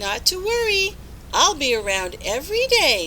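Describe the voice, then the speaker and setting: Over clear background noise, a woman puts on a character voice at an extremely high pitch and a moderate pace. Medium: read story. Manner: chirpy, enthusiastic.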